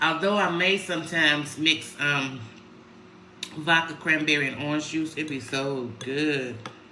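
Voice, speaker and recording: With noticeable background noise and audible room echo, a woman speaks at a very deep, low pitch, at a fairly slow pace and with fairly even intonation. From Chicago, US Midwest. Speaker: lifestyle vlogger. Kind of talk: casual livestream chat. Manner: loud; mellow.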